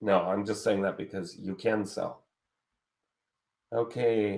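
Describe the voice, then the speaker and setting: A man talks loudly. His pace is fairly slow. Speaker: online marketing course host. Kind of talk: live webinar Q&A. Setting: live stream. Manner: casual, animated.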